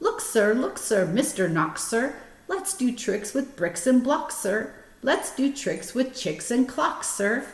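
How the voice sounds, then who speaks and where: Put-on character voice, fairly slow in pace. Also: woman, high pitch for a woman. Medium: read story. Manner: bouncy, teasing.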